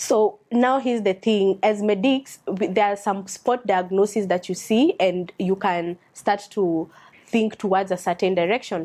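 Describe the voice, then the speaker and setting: A woman with a Kenyan accent talks at a fairly slow pace with hardly any pauses. Her loudness stays very even and her intonation fairly even. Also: medium pitch for a woman. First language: a Kenyan language. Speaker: doctor. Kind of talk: reading aloud with commentary. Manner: halting.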